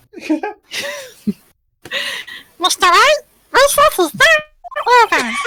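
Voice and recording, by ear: An extremely high, squeaky, put-on character voice with very wide pitch swings, a fairly slow pace, and long, frequent pauses.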